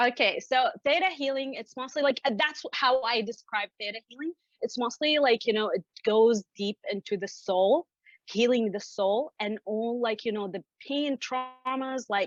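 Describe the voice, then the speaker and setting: At a moderate pace, a woman with an Arabic accent speaks in a high pitch, with a dry, close sound and no echo. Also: ordinary pitch variation. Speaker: business coach. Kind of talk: interview.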